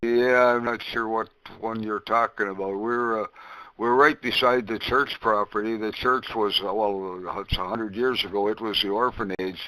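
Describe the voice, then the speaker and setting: A man's medium-pitched, bright, sharp voice with an Ontario accent, at a moderate pace with fairly even intonation. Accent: Canadian (Ontario). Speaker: ham radio net controller. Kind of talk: ham radio conversation. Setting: radio transmission via remote station.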